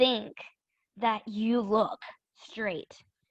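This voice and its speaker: In a quiet background, a woman speaks at a fairly high pitch with a dry, close sound and no echo. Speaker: student presenter. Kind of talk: virtual workshop presentation. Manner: loud.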